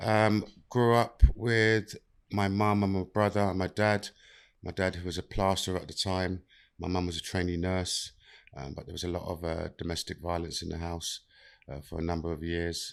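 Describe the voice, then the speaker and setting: In a London accent, a man speaks with a very deep, low pitch and fairly even intonation. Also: moderate pace. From South London. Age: 50s. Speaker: mental health and inclusion worker with past prison time. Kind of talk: podcast interview, life story.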